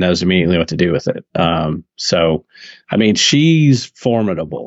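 A man with a Southern US accent, very wide pitch swings, and a moderate pace. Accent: somewhat southern. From US South. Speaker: podcast co-host. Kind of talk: casual chat. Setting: call.

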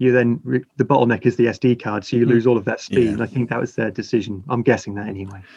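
A man at a medium pitch in a dark, mellow tone, very fast with hardly any pauses and fairly even intonation. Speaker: wedding photographer and camera brand ambassador. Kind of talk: casual chat.

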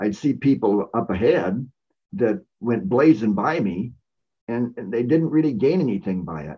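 Speaking at a moderate pace, a man keeps a medium pitch. He swings very widely in pitch. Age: 70s. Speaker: ultrarunner and trial lawyer. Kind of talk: casual interview. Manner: halting with frequent repeated words.

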